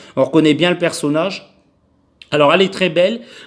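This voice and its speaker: This man's voice sits high in pitch. His pitch varies in an ordinary way. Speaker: toy collector YouTuber. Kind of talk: unboxing video. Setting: home, camera on tripod. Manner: halting, many fillers.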